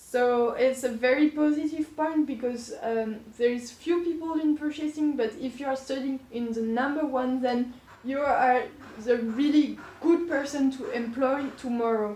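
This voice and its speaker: With a slight French accent, a woman speaks fairly slowly at a high pitch with ordinary pitch variation over noticeable background noise. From France, Poitiers. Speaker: business school student. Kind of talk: interview.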